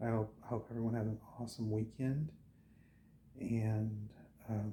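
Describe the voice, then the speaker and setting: A quiet, somewhat breathy voice with a dark, mellow tone at a fairly slow pace. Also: man. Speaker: travel vlogger. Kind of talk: casual vlog talk to camera. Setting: indoors at a home at night, others asleep. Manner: halting, many fillers; quiet, keeping voice down.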